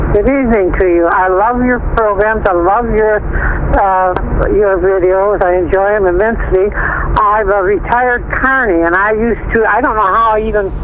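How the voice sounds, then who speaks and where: A woman with a medium pitch talks at a moderate pace with hardly any pauses, very even loudness and fairly even intonation. Audible room echo and noticeable background noise are present. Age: 70s. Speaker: caller, retired carnival worker. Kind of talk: phone-in chat. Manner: perky.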